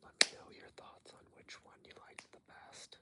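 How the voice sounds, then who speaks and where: Someone whispers at a moderate pace. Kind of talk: ASMR whispered ramble. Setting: outdoors. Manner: whispered.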